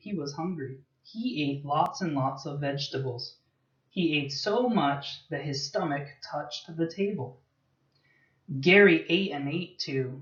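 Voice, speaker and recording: Somewhat breathy, a man with an American accent speaks at a very slow pace with ordinary pitch variation. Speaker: English teacher. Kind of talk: children's story reading for English learners.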